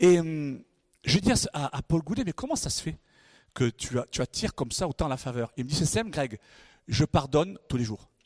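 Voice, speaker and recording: On a dry, close recording with no echo, a man with a fairly high pitch speaks in an animated tone with lively intonation at a moderate pace, taking long, frequent pauses. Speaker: guest pastor. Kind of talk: sermon. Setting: church stage with congregation.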